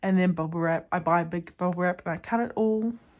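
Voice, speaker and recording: Against a quiet background, the speaker talks at a fairly quick pace in a New Zealand accent. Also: woman. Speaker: small business owner, candle and soap maker. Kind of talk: studio tour vlog. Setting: home garage studio. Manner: fast.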